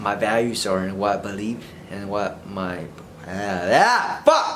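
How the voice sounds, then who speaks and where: A man speaks with an American accent. There is audible echo in the room. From Vietnam, rural area, moved to US at age eight. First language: Vietnamese. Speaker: vlogger. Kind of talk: casual unscripted monologue. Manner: halting, unscripted.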